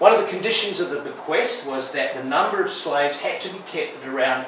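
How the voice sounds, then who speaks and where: Light background noise and audible room echo surround a man talking at a moderate pace. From Wales. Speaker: aid and development lecturer, guest speaker. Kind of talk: talk to church audience. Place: church. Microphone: camera far.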